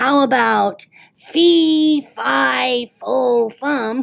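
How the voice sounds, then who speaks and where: A woman's put-on character voice, high in pitch. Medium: read story.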